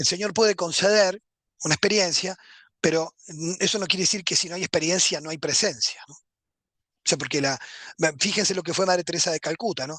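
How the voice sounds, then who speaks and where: Speech comes at a fairly quick pace with an Uruguayan accent, broken by long, frequent pauses. The background is quiet. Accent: Rioplatense Spanish (Uruguayan). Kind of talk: lecture. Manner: fast.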